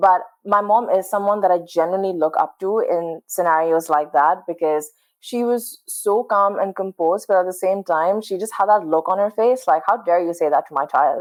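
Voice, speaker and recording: Speaking with a Pakistani accent, a woman uses a medium pitch and ordinary pitch variation at a moderate pace. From Pakistan, Karachi. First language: Urdu. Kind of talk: casual interview conversation.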